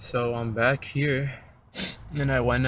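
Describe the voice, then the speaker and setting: A man speaks quietly at a very slow pace, his medium pitch held in a monotone, flat intonation. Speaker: amateur car mechanic. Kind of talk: DIY tutorial narration.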